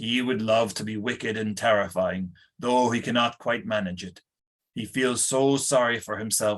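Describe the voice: Someone is plainly reading aloud with fairly even intonation over a quiet background.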